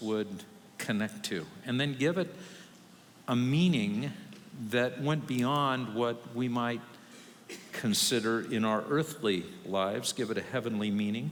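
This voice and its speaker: Room echo can be heard clearly. Within it, a man talks at a medium pitch. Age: 60s. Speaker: pastor. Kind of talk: sermon. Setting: church.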